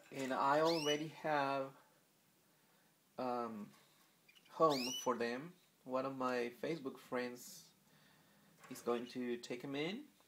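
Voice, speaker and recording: Speaking very slowly in a Spanish accent, with fairly even intonation, the voice leaves long, frequent pauses. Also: man, medium pitch for a man. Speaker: pet bird keeper. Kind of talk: casual video narration. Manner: halting, many fillers.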